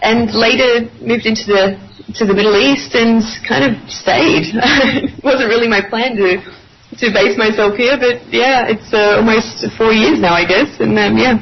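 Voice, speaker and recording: With ordinary pitch variation and a moderate pace, a woman talks amid noticeable background noise. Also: fairly high pitch for a woman. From Australia. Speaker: journalist. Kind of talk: radio interview. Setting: Skype call. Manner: hesitant with fillers.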